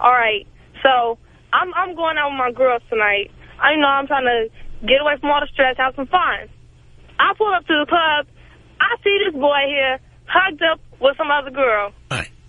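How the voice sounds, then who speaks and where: Amid noticeable background noise, a woman with a New York accent talks at a high pitch and moderate pace with lively intonation. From Brooklyn, New York. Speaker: caller. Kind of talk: call-in rant.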